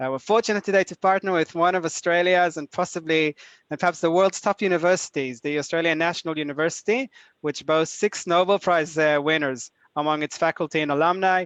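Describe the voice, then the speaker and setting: Very fast speech in an Israeli accent, with ordinary pitch variation, a dry, close sound with no echo and a quiet background. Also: man, high pitch for a man. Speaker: executive director of a nonprofit, webinar host. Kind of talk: webinar introduction. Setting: online webinar. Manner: hesitant, many filler uhs.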